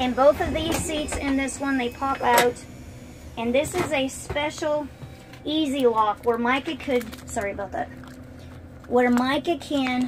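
A woman speaks at a fairly slow pace in a high pitch with ordinary pitch variation. Her long, frequent pauses sit over noticeable background noise. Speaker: parent vlogger. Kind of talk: casual vlog chat. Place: car.

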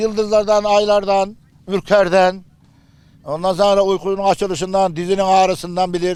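At a moderate pace, a man speaks in a high pitch. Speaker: nomad elder. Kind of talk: casual storytelling.

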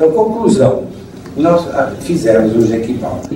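Audible room echo and noticeable background noise surround a man who talks at a moderate pace with ordinary pitch variation. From São Paulo, Brazil. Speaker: conductor and composer. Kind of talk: lecture to an audience. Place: hall. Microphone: camera far.

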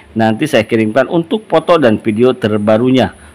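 Speaking fairly quickly, a man has a plain, everyday voice. His pitch variation is ordinary. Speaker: gemstone shop seller. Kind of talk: sales pitch, product showcase. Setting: shop video recording. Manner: upbeat pitchman patter, repeating prices and praise; fast, salesy, persuasive.

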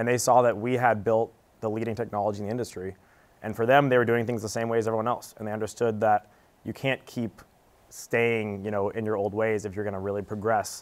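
A man rattles on at a very fast pace in a flat monotone. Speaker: appraiser and startup founder. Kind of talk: panel discussion. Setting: studio. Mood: calm, confident. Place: studio. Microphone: lapel.

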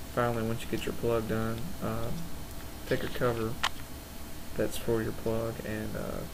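Noticeable background noise fills the recording. The talking goes at a moderate pace. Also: man. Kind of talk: tutorial. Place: workshop. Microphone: camera far.

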